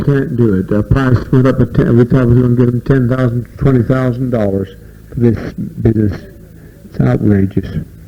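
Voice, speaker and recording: Noticeable background noise sits under this man's voice. His pace is moderate and his intonation fairly even. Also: medium pitch for a man. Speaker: cult leader. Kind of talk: speech to a community gathering.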